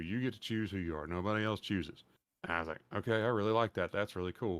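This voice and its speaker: In a Texas accent, the voice moves at a very fast pace with ordinary pitch variation. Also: man, very clean recording, silent background. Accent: Southern accent, more Texas than Louisiana. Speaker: podcast host and streamer. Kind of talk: casual chat. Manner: animated.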